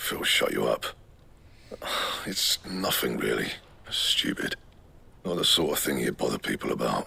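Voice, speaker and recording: A put-on character voice, raspy and gruff, at a moderate pace with long, frequent pauses over light background noise. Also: man, very deep, low pitch for a man. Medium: video game. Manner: gruff, brusque.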